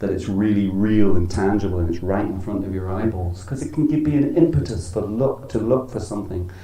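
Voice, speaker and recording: A man with a Dublin accent talks at a fairly quick pace with ordinary pitch variation amid audible room echo. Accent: Irish (Dublin). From Ireland. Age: 60s. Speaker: spiritual teacher. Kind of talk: religious talk. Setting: temple with audience.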